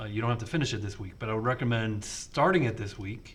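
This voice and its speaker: This man's medium-pitched voice carries audible room echo. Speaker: programming instructor. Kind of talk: lecture. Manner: halting.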